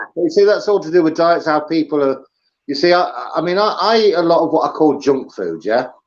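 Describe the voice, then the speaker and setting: A man with an English accent talks at a fairly quick pace. His pitch is fairly high, with ordinary variation. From England. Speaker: livestream host. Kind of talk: casual chat. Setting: live stream with video call guest. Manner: hesitant, many ums and uhs.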